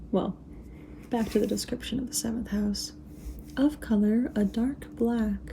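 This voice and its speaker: A soft-spoken woman talks at a fairly slow pace. She leaves long, frequent pauses. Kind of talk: ASMR reading and rambling about astrology.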